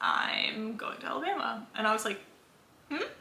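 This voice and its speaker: A speaker with an American accent uses ordinary pitch variation amid audible room echo and noticeable background noise. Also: woman. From Los Angeles, Southern California. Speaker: vlogger, former college swimmer. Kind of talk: casual chat. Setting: in bed at home. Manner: casual, filler-heavy.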